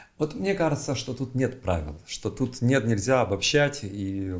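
A man speaks at a moderate pace in a somewhat breathy voice. His intonation is lively. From Siberia, Novosibirsk. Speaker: writer and writing teacher. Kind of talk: casual interview.

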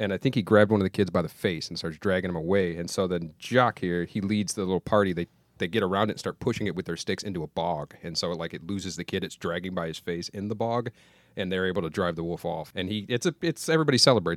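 In a playful tone, a man speaks at a very fast pace with a very deep, low pitch, his dry, close sound with no echo on a very clean recording with a silent background. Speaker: podcast co-host. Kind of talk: casual banter, storytelling. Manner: joking, playful.

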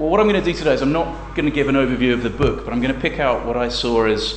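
A man speaks with an English accent. Noticeable background noise runs behind him. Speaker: academic researcher and author. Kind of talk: lecture. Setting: seminar room with audience. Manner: fast; hesitant, many fillers.

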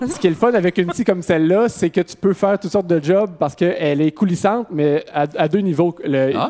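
A man's high voice at a fairly quick pace, with hardly any pauses, ordinary pitch variation and noticeable background noise. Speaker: talk show host. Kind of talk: comedic talk show banter. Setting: stage without audience.

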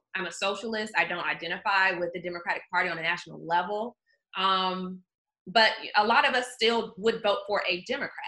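A woman with an American accent, a bright, sharp tone, medium pitch, ordinary pitch variation, and a fairly quick pace. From US South, Georgia (outside Atlanta). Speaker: journalist. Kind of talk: casual chat.

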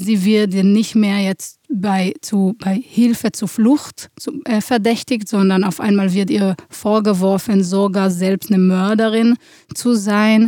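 A woman with an Israeli accent and medium pitch speaks at a very slow pace in a dark, mellow tone, her intonation fairly even and the sound dry and close with no echo. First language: Hebrew (speaking German). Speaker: theatre director. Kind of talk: interview. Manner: halting, many fillers.

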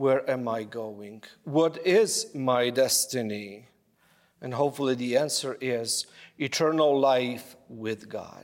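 Speaking at a very slow pace with a non-native accent, a man keeps a medium pitch and ordinary pitch variation in a very clean recording with a silent background. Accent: foreign. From abroad, another country. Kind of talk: homily. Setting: church. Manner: halting.

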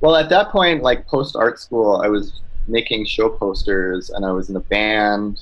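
Here is a man with a Canadian accent. He speaks at a fairly slow pace. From Quebec, Mohawk community near Montreal. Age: 30s. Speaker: cartoonist. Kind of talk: casual interview. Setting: video call.

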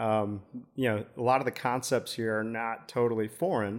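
In a very clean recording with a silent background, a man speaks with an American accent at a medium pitch. He has an unremarkable speaking voice, a moderate pace and ordinary pitch variation. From US Midwest, South Side of Chicago. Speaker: marketing director. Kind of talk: interview. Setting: studio.

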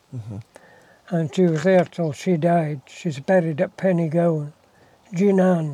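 A man speaks at a high pitch with a dark, mellow tone and ordinary pitch variation. His delivery is fairly slow, broken by long, frequent pauses. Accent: West Highland Scottish. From Scotland, Isle of Mull. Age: 80s+. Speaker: retired farmer. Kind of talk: casual chat. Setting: in a car, talking through window.

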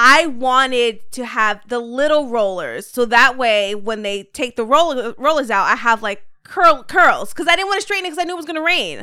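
A woman's raised, projected voice, high and bright with a sharp tone, swinging very widely in pitch at a moderate pace. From Puerto Rico heritage, US. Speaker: podcaster with radio voice. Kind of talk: casual chat.

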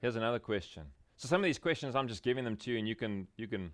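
Very fast speech with ordinary pitch variation, in a South African accent. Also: man. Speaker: pastor. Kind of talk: conference workshop talk. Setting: breakout room with live audience.

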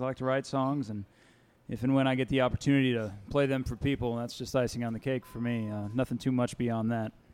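Talking at a very fast pace, a man with a Kentucky accent keeps his intonation fairly even. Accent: Kentucky Southern US. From Winchester, Kentucky. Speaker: folk singer-songwriter. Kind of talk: live showcase talk. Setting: live venue with audience.

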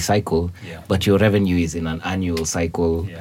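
Speaking at a moderate pace, a man uses a very deep, low pitch. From Kenya. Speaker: author and illustrator. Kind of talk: casual chat.

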